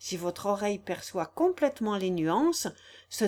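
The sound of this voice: Someone reads aloud in an unforced voice.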